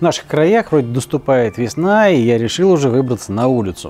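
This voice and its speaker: A man's voice moves through very wide pitch swings. There is light background noise. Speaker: cooking show host. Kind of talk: tutorial. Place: garden. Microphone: lapel.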